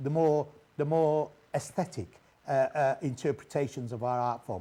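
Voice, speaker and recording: With a Mancunian accent, a man speaks at a moderate pace in a dark, mellow tone, his fairly high voice showing ordinary pitch variation. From Manchester, northern England. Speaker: radio host. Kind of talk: interview. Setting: live TV broadcast. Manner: halting, many fillers.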